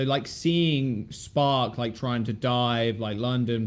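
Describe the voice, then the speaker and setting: A man's unremarkable speaking voice at a medium pitch. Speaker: esports caster and podcast host. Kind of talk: casual chat podcast.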